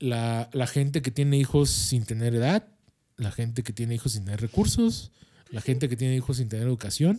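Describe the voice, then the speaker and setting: A man with a Mexican accent speaks fairly quickly in a medium pitch with ordinary pitch variation and a dark, mellow tone. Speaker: podcast co-host. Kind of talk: casual chat.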